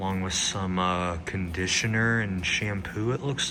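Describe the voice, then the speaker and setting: In a room with audible echo, a man with a fairly low voice speaks at a very slow pace. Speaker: hotel reviewer. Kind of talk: video tour. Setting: indoors and outdoors at a lodge. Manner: casual, conversational.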